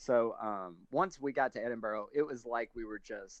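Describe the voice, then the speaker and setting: A man with a Southern US accent speaks at a fairly slow pace and medium pitch, with ordinary pitch variation. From US South. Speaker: stand-up comedian. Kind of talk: casual interview chat.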